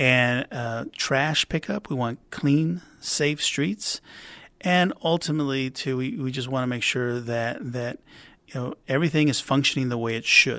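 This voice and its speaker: A man speaks in a South Texas accent with a bright, sharp tone and ordinary pitch variation. The recording is very clean, with a silent background. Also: medium pitch for a man, fairly slow pace. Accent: South Texas American. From Rio Grande Valley, Texas (McAllen). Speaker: city councilman. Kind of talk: interview. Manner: halting, many fillers and repetitions.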